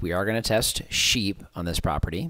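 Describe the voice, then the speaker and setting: A man talks in a normal speaking voice, pitched fairly low. His pitch varies in an ordinary way over a quiet background. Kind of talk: explanatory vlog talk. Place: home room. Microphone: lapel.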